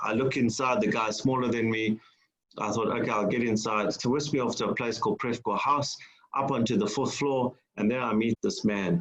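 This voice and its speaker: With a South African accent, a man speaks at a medium pitch. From South Africa, Durban. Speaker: entrepreneur and business mentor. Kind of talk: public lecture. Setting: online lecture. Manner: halting, many fillers.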